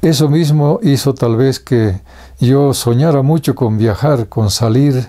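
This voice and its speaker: Talking at a fairly slow pace, a man has a medium pitch and ordinary pitch variation. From Bolivia, Vallegrande province (rural). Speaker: writer, storyteller. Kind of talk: biographical interview. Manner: halting, many fillers.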